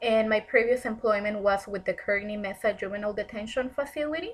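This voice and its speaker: A woman with a Spanish accent speaks at a fairly high pitch. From Mexico, Tijuana. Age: 30s. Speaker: counseling student. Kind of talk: personal presentation.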